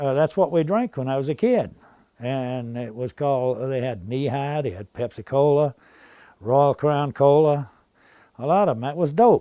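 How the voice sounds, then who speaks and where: A man with an Appalachian accent, fairly high pitch, a dark, mellow tone, moderate pace and ordinary pitch variation. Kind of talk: interview answer.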